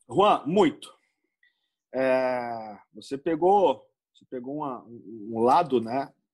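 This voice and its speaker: At a very slow pace, a medium-pitched man speaks with lively intonation, big swings in loudness and long, frequent pauses in a very clean recording with a silent background. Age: 30s. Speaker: football coach. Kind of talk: interview. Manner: halting.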